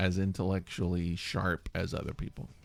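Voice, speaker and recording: A man with a very deep, low voice speaks at a moderate pace in a very clean recording with a silent background and a dry, close sound with no echo. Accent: Southern US. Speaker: podcast host. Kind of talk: casual chat. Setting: studio.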